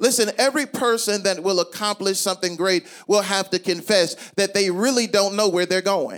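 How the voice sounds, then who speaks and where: A man with a high pitch speaks in an animated tone at a fairly quick pace and very even loudness, with music in the background. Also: ordinary pitch variation. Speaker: pastor. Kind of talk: sermon. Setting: church. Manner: animated call-and-response preaching, urging the congregation to shout; bold, emphatic, rhythmic, repeating key phrases.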